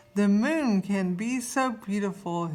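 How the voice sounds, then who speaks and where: Using a put-on character voice, a woman talks at a fairly slow pace with a medium pitch and ordinary pitch variation. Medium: read story.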